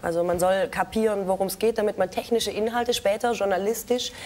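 Her speech runs fairly quickly, and this woman's pitch varies in an ordinary way. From Baden-Württemberg, Ostalbkreis (Aalen); Baden-Württemberg. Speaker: TV and internet presenter; presenter. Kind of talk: talk show interview. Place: studio.

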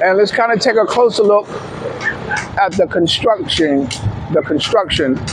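The sound is dry with no echo, though noticeable background noise comes through. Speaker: travel vlogger. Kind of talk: casual vlog chat. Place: street. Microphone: phone near.

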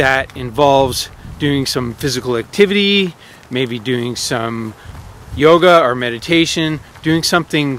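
A man speaks at a fairly slow pace with ordinary pitch variation. The sound is dry with no echo, over light background noise. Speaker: self-help vlogger. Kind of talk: casual vlog advice. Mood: earnest, advising. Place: open country. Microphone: phone near.

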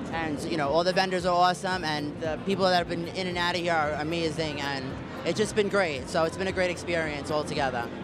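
With music in the background, a man talks at a very fast pace in a dry sound with no echo. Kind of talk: promotional greeting to camera. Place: hall. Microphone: handheld.

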